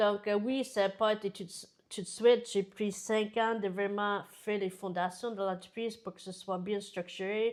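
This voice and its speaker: A woman with an American accent speaks at a fairly slow pace in a monotone, flat delivery at a medium pitch. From United States. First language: English (speaking French). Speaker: business founder. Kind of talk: interview. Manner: hesitant, many fillers.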